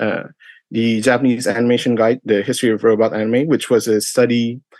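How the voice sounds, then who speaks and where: His pitch sitting in the medium range, a man talks at a moderate pace. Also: quiet background. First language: not English. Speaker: convention panelist. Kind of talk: convention panel presentation. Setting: live online stream. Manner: halting, many fillers.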